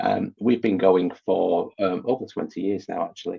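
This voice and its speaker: A man with a Manchester accent, at a moderate pace. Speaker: IT director. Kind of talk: interview.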